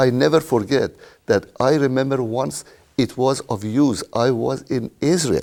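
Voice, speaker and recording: With an Iranian accent, a man speaks at a medium pitch. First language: Persian. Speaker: retired IT worker. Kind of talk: interview.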